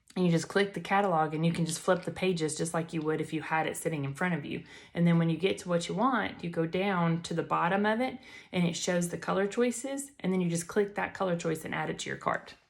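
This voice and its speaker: A woman with a Southern US accent talks very fast, fairly low in pitch and with ordinary pitch variation. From Alabama, US South. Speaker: makeup seller and beauty influencer. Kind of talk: tutorial. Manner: animated.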